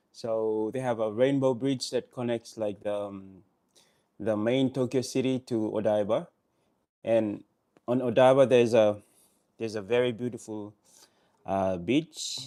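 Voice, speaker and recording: A man with a non-native accent talks at a fairly slow pace in a medium pitch, his intonation fairly even, his tone dark and mellow, and his pauses long and frequent. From Solomon Islands. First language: not English. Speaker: vlogger. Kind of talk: live stream chat. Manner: halting.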